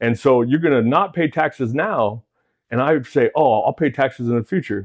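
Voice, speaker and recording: A man with an American accent and a plain, everyday voice, medium in pitch, lively in intonation, and very even in loudness. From Washington, US. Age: 40s. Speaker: financial educator and military veteran. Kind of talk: interview. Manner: fast, repetitive filler.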